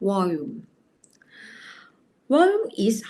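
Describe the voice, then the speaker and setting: The speaker is a woman. She talks at a very slow pace. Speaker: teacher. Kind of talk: lecture.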